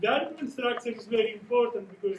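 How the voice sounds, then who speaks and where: Over noticeable background noise, a man with a strong Greek accent speaks with fairly even intonation. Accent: Greek, thick. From Greece. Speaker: academic researcher. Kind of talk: conference presentation. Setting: conference panel. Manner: halting, with self-corrections.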